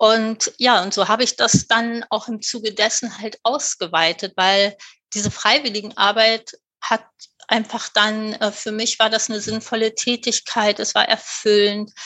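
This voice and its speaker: Her intonation stays monotone and flat. This woman speaks at a fairly slow pace with fairly high pitch. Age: 50s. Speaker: volunteer aid organisation founder. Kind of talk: interview.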